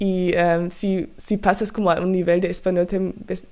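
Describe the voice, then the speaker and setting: A woman with a German accent speaks in a fairly low pitch, her tone dark and mellow. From Germany. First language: German (speaking Spanish). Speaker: podcast host and music reaction youtuber. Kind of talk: casual podcast monologue. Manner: halting, many fillers.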